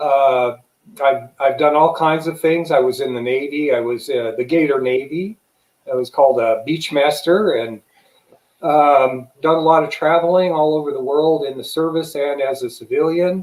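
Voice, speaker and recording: Speaking at a moderate pace, a man with an American accent has a fairly high pitch and ordinary pitch variation. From Las Vegas, Nevada, US. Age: 60s. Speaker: retired Navy veteran and UFO hunter. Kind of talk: interview.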